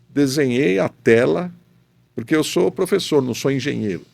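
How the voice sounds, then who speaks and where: The recording is very clean, and the background is silent. A man speaks fairly slowly, his pitch swinging very widely. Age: 60s. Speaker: professor and rotational molding specialist. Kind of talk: podcast interview.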